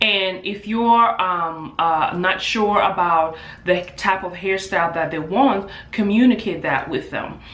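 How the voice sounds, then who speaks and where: A woman at medium pitch with an African accent, speaking at a fairly slow pace, amid noticeable background noise and audible room echo. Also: ordinary pitch variation. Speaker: hairstylist and beauty business owner. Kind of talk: vlog tutorial. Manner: casual with filler words.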